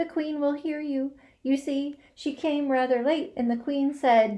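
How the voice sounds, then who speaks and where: Putting on a character voice, a woman speaks high-pitched and fairly slowly in a timid tone. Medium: read story.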